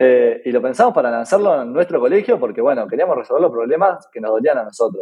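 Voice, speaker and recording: A man speaks with a Uruguayan accent at a very fast pace. He leaves hardly any pauses. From Uruguay (Punta del Este). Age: 20s. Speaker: tech startup founder. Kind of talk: interview. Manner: halting, many fillers.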